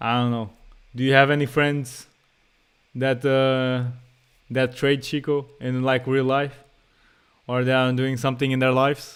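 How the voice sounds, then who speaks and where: A man's medium-pitched voice in a Portuguese accent, flat and monotone, fairly slow, with long, frequent pauses. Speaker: day trader and streamer. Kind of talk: live stream commentary. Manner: casual, slangy.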